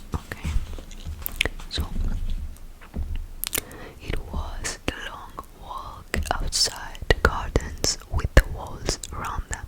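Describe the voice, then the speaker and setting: Someone whispers in a gentle tone at a very slow pace against noticeable background noise. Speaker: ASMR content creator. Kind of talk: ASMR whisper reading of a book. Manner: whispered, gentle.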